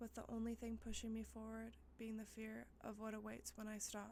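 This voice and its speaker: Behind a woman talking at a moderate pace, noticeable background noise can be heard. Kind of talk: ASMR spooky story reading. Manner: soft, intimate, sleep-inducing delivery.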